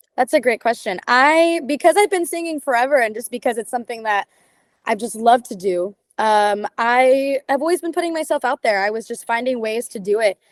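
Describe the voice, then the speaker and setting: Her high pitch and lively intonation carry a Californian accent as the woman talks at a fairly quick pace. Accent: Californian American. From Southern California, San Diego area. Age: 18. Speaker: singer, TV talent show contestant. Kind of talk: interview.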